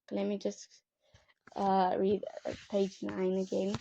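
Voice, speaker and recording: This woman's pace is very slow. She has a non-native accent. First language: not English. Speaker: YouTuber reading a book aloud. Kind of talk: reading aloud. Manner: halting, self-correcting.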